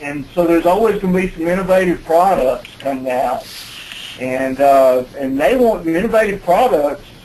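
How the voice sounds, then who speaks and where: With noticeable background noise, a man in an American accent speaks at a fairly high pitch with ordinary pitch variation. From US South, Alabama. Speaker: building code expert presenter. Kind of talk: webinar presentation. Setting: conference call. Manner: halting, many fillers.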